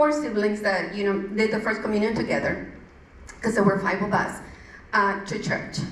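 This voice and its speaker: A woman with a strong Mexican accent speaks at a fairly high pitch, with audible room echo and noticeable background noise. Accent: thick Mexican Spanish. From Mexico. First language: Spanish. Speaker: churchgoer giving testimony. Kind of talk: testimony. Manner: halting, with many fillers.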